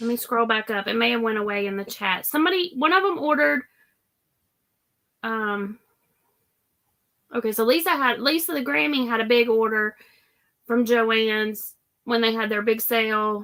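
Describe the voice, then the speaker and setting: A woman with a Southern US accent speaks at a moderate pace in a bright, sharp tone, her fairly high pitch carrying lively intonation broken by long, frequent pauses. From Florida. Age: 50s. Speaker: crafting livestream host. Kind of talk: casual livestream chat.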